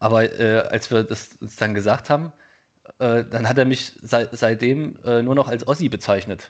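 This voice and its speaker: A man's normal speaking voice, medium in pitch, at a fairly slow pace with fairly even intonation. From Thuringia, eastern Germany. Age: 30s. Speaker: podcast co-host. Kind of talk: casual conversation.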